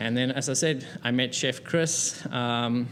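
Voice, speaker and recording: This man speaks with a South African accent. His pitch is medium. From South Africa, Cape Town. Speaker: restaurant co-founder and business consultant. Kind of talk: interview. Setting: restaurant.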